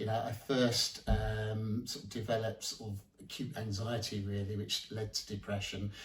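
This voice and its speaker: A man talks at a moderate pace, his medium-pitched voice somewhat breathy. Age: 60s. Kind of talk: interview answer. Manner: hesitant, many fillers.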